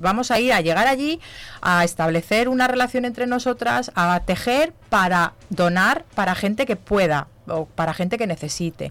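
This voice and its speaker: Pitched in the medium range, a woman speaks at a moderate pace with very wide pitch swings. Her loudness stays very even throughout. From Zamora, Spain. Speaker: knitting charity group organiser and entrepreneur. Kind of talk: radio interview. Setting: radio studio.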